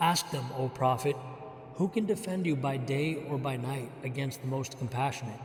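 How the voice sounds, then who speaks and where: A man with an American accent speaks at a fairly high pitch and moderate pace over noticeable background noise. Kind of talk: scripture reading.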